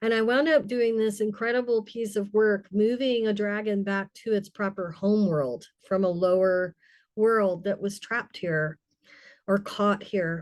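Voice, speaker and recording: A woman with a normal speaking voice talks at a fairly slow pace in a medium pitch, with ordinary pitch variation against a quiet background. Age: 60s. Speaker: spiritual elder and storyteller. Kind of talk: personal sharing in a group circle.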